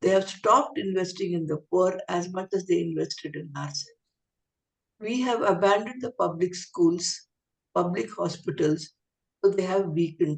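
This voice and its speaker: A woman speaks at a moderate pace and a medium pitch, with ordinary pitch variation. Her voice carries vocal fry. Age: 70s. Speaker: professor, keynote speaker. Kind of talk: Q&A answer after a talk.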